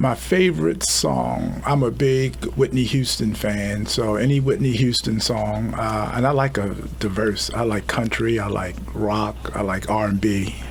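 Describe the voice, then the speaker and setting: A man with an American accent at a fairly slow pace, with audible room echo and noticeable background noise. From Baltimore, Maryland. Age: 60s. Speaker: police chief. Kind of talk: radio interview. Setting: studio.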